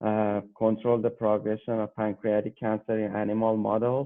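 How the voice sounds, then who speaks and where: A man talks with a Persian accent. His pace is moderate. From Iran, Tehran. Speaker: PhD graduate researcher. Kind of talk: interview. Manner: hesitant, with fillers.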